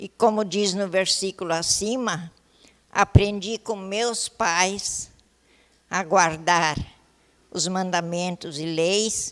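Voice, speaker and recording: Speaking at a very slow pace with long, frequent pauses, a woman uses a medium pitch and fairly even intonation while her loudness swings widely. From southern Brazil, Rio Grande do Sul (Taquari valley). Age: 80s+. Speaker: retired teacher. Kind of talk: testimony. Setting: council chamber ceremony. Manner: halting.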